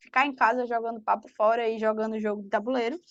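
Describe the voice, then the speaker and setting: Over a quiet background, a woman speaks in a high voice. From Brazil, Pernambuco (Recife). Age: 20s. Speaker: fanfiction author. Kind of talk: interview.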